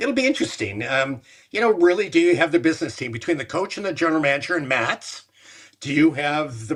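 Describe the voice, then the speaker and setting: Someone with a Canadian accent speaks at a fairly quick pace, with very wide pitch swings. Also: man. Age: 70s. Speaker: former sports executive. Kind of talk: interview. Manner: halting.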